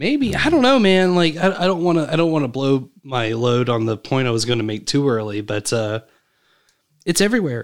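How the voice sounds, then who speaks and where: A man's fairly high voice, an ordinary speaking voice, fairly quick in pace with lively intonation. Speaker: podcast host. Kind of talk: casual chat.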